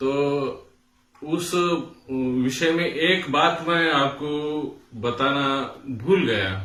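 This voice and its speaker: This man speaks with a Marathi accent at a fairly high pitch, with ordinary pitch variation. Audible room echo surrounds his voice. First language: Marathi (speaking Hindi). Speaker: music teacher. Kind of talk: tutorial. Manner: hesitant with fillers.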